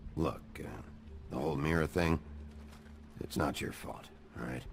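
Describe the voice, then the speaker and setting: Doing a put-on character voice, a man sounds raspy and very deep, speaking at a moderate pace with fairly even intonation over clear background noise. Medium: video game. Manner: gruff, terse.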